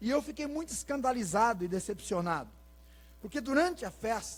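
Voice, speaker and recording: Male speech, very cleanly recorded against a silent background. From Brazil, rural Paraná. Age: 40s. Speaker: pastor. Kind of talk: sermon. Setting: church.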